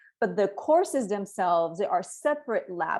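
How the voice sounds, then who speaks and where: A woman talks with a Spanish accent and a medium pitch. Her intonation is lively, and the background is quiet. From Cuba, then Spain and Miami. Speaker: education researcher.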